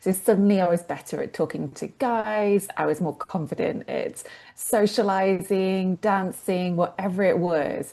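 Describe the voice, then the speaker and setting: With a British accent, a woman speaks at a fairly slow pace and a medium pitch, her intonation fairly even and hardly any pauses between words. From England. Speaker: sobriety coach. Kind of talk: interview conversation.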